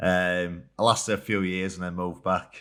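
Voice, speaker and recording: The recording is very clean, with a silent background. A man with a Yorkshire accent talks at a moderate pace in a bright, sharp tone. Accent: Yorkshire (Hull). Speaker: rugby league player. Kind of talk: casual chat.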